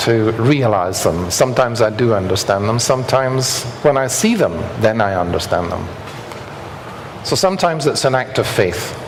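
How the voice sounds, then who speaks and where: There is audible room echo and noticeable background noise. A man talks with lively intonation. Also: medium pitch for a man, moderate pace. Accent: Scottish. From Scotland. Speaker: structural engineer. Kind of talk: lecture.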